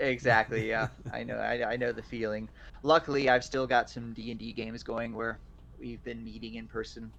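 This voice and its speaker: Speaking fairly quickly with a slight Southern accent, a man shows big swings in loudness. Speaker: artist and voice actor. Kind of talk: casual chat.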